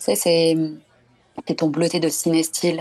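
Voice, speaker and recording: Her pitch very deep and low, a woman speaks in a French accent. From southern France. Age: 30s. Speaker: documentary photographer. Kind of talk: casual interview.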